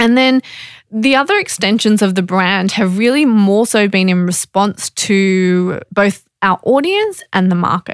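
Speaking with an Australian accent, a woman keeps a fairly slow pace and a medium pitch with ordinary pitch variation. Her loudness stays very even, and the sound is dry and close with no echo. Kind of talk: interview.

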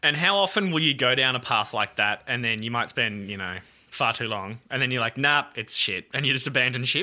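Against a quiet background, a man with an Australian accent speaks very fast in a bright, sharp tone at medium pitch with ordinary pitch variation. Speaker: podcast host and radio producer. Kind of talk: casual interview chat.

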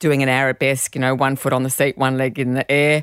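A woman with a very deep, low pitch speaks in a monotone, flat intonation, the recording very clean with a silent background and a dry, close sound with no echo. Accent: Australian. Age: 60s. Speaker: charity founder and hiking business owner. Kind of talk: casual chat.

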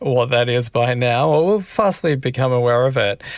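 A man talks at a moderate pace with an Australian accent. His pitch sits in the medium range. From South Australia, rural. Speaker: author. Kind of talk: interview. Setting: remote call.

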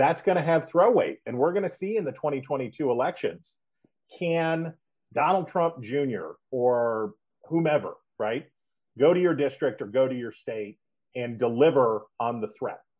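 A man with an American accent has a normal speaking voice at a fairly high pitch. He speaks at a fairly slow pace with lively intonation. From West Virginia. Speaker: political analyst. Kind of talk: interview. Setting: phone call.

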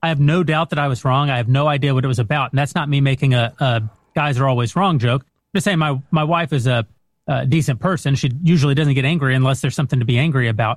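This man speaks very fast with a fairly high pitch, a somewhat breathy quality, ordinary pitch variation and very even loudness. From West Texas. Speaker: film producer and director. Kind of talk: casual chat.

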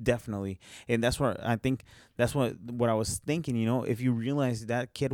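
A man with a plain, everyday voice talks at a fairly quick pace and medium pitch with ordinary pitch variation. The recording is very clean and has a silent background, with a dry, close sound with no echo. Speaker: podcast host. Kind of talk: casual podcast conversation.

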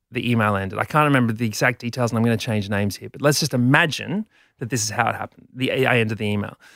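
With an Australian accent, a man talks at a very fast pace, his medium pitch showing ordinary variation. The recording is very clean, with a silent background. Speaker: comedian. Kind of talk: casual chat. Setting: studio.

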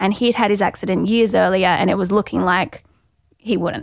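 A woman with an Australian accent and vocal fry talks at a fairly quick pace, medium in pitch with ordinary pitch variation. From Gold Coast, Australia. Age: 20s. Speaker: skydiving accident survivor with paraplegia. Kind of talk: casual interview.

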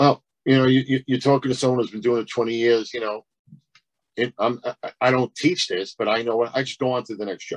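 A man talks at a fairly quick pace with fairly even intonation and a medium pitch. He has an unremarkable speaking voice, recorded with a dry, close sound and no echo. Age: 50s. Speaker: stand-up comedian. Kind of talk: casual chat.

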